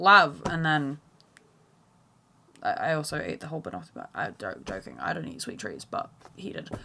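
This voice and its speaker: A woman speaks in an animated tone with big swings in loudness and long, frequent pauses. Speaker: podcast host. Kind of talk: casual monologue. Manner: fast, stumbling over words.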